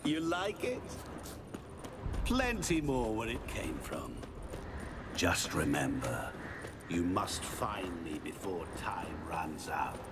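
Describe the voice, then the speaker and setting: Loud background noise sits under a man doing a put-on character voice. He speaks at a very slow pace. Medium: machinima. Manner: terse, deadpan.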